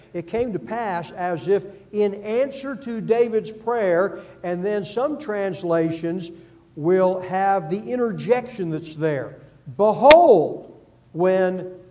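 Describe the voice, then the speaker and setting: A man's high voice with lively intonation at a very slow pace, amid audible room echo and noticeable background noise. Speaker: Bible class teacher. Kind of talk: Bible class lecture.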